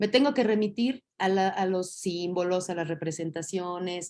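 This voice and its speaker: A dark, mellow voice speaks at a moderate pace with ordinary pitch variation in a very clean recording with a silent background. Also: woman. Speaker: teacher. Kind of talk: lecture.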